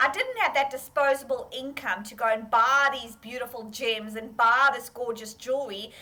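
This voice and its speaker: With a South African accent, a woman talks at a moderate pace in an animated tone, her high-pitched voice bright and sharp. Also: hardly any pauses, big swings in loudness. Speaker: fashion entrepreneur. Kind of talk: interview.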